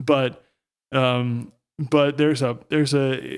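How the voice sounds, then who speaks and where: A man with an American accent has a fairly high pitch and an unremarkable speaking voice. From United States. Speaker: church planter. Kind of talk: casual chat.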